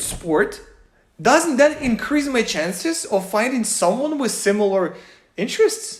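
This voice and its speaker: Her voice is high, and she speaks with a non-native accent at a moderate pace. Her pitch swings very widely as this woman talks. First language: not English. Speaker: YouTuber. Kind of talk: personal vlog monologue.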